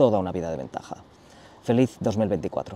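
Speech comes at a very fast pace with lively intonation. The sound is dry, with no echo. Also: man. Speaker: travel youtuber. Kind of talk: casual vlog chat. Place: waterside. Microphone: lapel.

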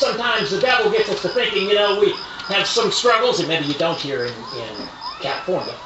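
Over noticeable background noise, a man with an American accent speaks with lively intonation. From eastern United States. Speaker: preacher at tent revival meetings. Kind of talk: sermon, biblical King James reading. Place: tent. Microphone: camera far.

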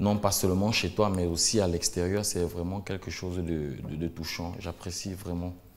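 In a flat monotone, a man speaks at a very deep, low pitch. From Cameroon. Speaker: singer; guest. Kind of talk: interview. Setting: studio. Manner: hesitant. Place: studio. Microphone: lapel.

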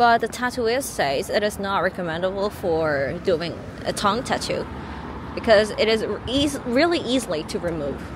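At a moderate pace, a woman with a Korean accent speaks at medium pitch. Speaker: live-streaming travel vlogger. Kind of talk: live-streamed walking tour commentary. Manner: casual, chatty.

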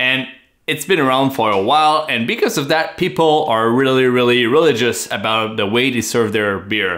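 Over a quiet background, a man with a French accent speaks at a moderate pace and medium pitch in a bright, sharp tone. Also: lively intonation. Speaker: beer channel co-host. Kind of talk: casual chat. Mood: relaxed, enthusiastic. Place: home room.

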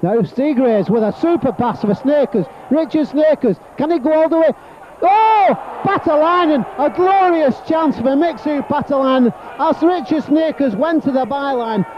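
An extremely high-pitched man speaks at a moderate pace in an animated tone. The sound is dry with no echo, though noticeable background noise is present. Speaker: football commentator. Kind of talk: live football commentary. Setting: stadium commentary, archive match broadcast. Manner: animated, exclaiming at near misses and goals. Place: stadium.

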